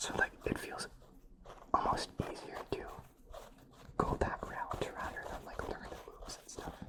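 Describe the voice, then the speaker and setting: Someone whispers at a moderate pace with long, frequent pauses. Noticeable background noise is present. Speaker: ASMR creator. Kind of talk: ASMR whispering. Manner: whispering.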